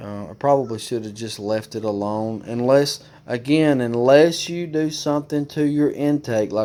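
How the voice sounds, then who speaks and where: A man in an Alabama accent, medium in pitch with ordinary pitch variation, at a moderate pace, over noticeable background noise. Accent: Alabama Southern. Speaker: motorcycle DIY youtuber. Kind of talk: tutorial. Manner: casual, hesitant with fillers.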